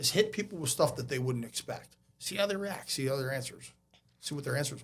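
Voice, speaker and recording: Very fast and lively in intonation, a man speaks with a fairly high pitch. Vocal fry runs through his voice. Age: 50s. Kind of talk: podcast interview.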